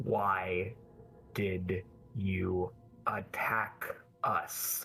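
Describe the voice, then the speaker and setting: A man does a put-on character voice, growling and guttural. His pitch is very deep and low. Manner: low muttering.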